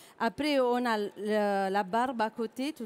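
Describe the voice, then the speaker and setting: On a very clean recording with a silent background, a woman speaks with a fairly high pitch and ordinary pitch variation. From southern Italy. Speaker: chef. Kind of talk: cooking demonstration.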